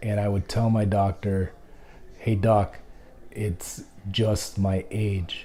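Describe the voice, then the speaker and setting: Man at a very slow pace with long, frequent pauses, fairly low in pitch, somewhat breathy, dark and mellow in tone, with monotone, flat intonation. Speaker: blogger and interviewer with CTE. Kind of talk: vlog address then interview. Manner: halting, slurred speech.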